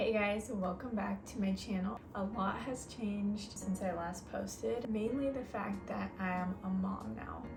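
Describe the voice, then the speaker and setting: Over music in the background, a woman whispers quietly at a fairly slow pace with hardly any pauses. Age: 30s. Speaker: vlogger and online business owner. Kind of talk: casual vlog talk. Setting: at home. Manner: whispering to stay quiet.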